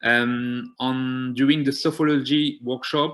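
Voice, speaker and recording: With a French accent, a man speaks very slowly at a medium pitch. His intonation is monotone and flat. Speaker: community health programme organiser. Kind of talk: seminar presentation. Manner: halting, many fillers.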